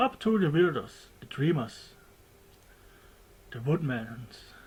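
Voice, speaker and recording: The speaker has a German accent and talks at a very slow pace. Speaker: documentary maker. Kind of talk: homemade documentary narration. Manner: halting, less fluent; casual.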